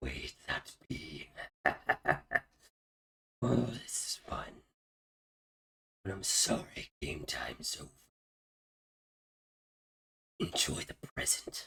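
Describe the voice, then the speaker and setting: A put-on character voice, raspy and growling with a sinister tone, drags along at a very slow pace with long, frequent pauses. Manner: sinister, taunting.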